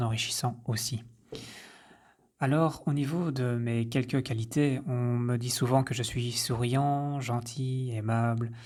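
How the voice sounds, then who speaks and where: The recording is very clean, with a silent background. A man talks at a fairly slow pace and a medium pitch. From French-speaking rural village. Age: 30s. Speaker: podcaster, health coach. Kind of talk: personal introduction monologue. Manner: hesitant, with fillers.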